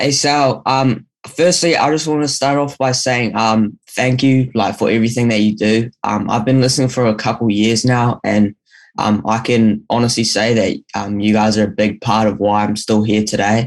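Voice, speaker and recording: A man in a New Zealand accent, medium-pitched, fairly even in intonation, at a moderate pace. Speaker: caller. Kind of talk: listener question. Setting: video call. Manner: halting.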